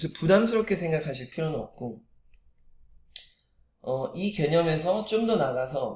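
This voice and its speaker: A man talks fairly slowly, his intonation lively throughout. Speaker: motivational speaker. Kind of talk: motivational talk. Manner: frequent filler hesitations.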